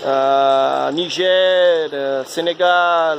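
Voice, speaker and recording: Over noticeable background noise, a man with a Brazilian accent speaks at a high pitch. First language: Portuguese (speaking French). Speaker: amateur aquaponics hobbyist. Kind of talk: video tutorial. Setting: outdoors in his backyard. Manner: halting, many filler sounds and repetitions.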